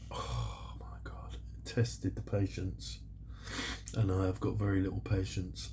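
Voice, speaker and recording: With a British accent, a man speaks fairly slowly at a very deep, low pitch, his dark, mellow tone marked by vocal fry, very wide pitch swings and big swings in loudness, all with audible room echo. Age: 60s. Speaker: scale model builder YouTuber. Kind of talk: casual vlog talk. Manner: chatty, rambling with fillers.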